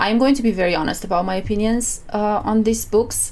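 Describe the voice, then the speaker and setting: Over noticeable background noise, a woman with a non-native accent talks at a fairly quick pace. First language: not English. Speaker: book reviewer / content creator. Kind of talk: casual book review vlog. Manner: hesitant, with fillers and repetitions.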